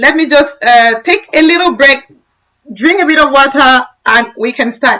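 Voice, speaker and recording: Raised and projected at a moderate pace, a woman's high, bright, sharp voice holds a very even loudness with ordinary pitch variation. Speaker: tech educator. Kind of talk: live-stream tutorial. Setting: live stream.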